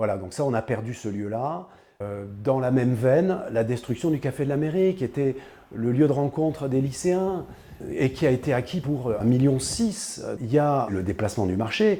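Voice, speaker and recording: Speaking at a moderate pace and medium pitch, a man has a dark, mellow tone and lively intonation. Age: 60s. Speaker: local politician. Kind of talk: political address to camera. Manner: hesitant, many filler sounds.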